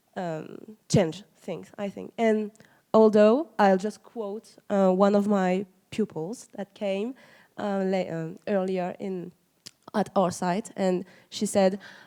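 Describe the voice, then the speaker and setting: A woman speaks at a very slow pace with a medium pitch and fairly even intonation. Her tone is dark and mellow, and the recording is very clean with a silent background. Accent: French. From France. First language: French. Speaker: museum educator. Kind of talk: audience question at conference panel.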